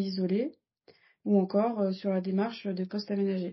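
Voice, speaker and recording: A woman's somewhat breathy, medium-pitched voice, monotone and flat in intonation, at a fairly slow pace. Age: 20s. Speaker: workplace health and safety officer. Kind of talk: interview. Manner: halting.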